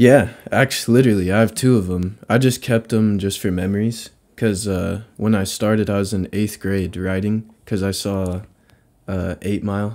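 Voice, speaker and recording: Heard in a very clean recording with a silent background, a man speaks at a moderate pace with fairly low pitch and fairly even intonation, in an unremarkable speaking voice. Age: 20s. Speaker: rapper. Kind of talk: casual chat. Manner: casual slang-heavy.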